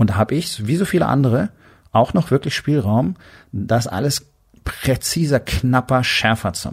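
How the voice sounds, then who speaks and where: Somewhat breathy and medium in pitch, a man speaks at a moderate pace with lively intonation, in a dry, close sound with no echo. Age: 50s. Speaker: podcast host, doctor and entrepreneur. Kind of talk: motivational monologue.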